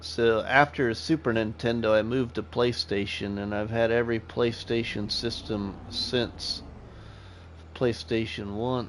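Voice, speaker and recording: Using an ordinary speaking voice with an American accent, a man talks at a fairly slow pace and medium pitch with ordinary pitch variation. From US Midwest (Iowa/Nebraska). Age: 40s. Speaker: gaming streamer. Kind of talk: live gameplay stream chatting with viewers. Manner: casual, conversational.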